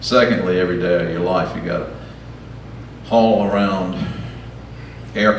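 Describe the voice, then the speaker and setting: Audible room echo and noticeable background noise both come through in this clip. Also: man. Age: 70s. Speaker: storyteller at a live event. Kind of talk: personal storytelling to an audience. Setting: stage with audience. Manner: halting, many fillers.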